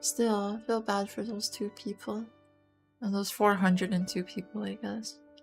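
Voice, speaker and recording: A soft-spoken woman at a medium pitch and fairly slow pace, with ordinary pitch variation and music in the background. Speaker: VTuber streamer. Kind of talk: casual talk to camera.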